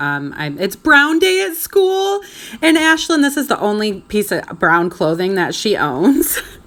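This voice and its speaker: Very wide pitch swings in a female voice, noticeable background noise behind it. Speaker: stay-at-home mom vlogger. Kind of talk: casual vlog voiceover.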